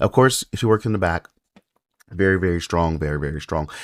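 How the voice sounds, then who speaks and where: A man speaks quietly with lively intonation. The recording is very clean, with a silent background. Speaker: mobile game YouTuber. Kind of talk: game unit review commentary. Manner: quiet, subdued.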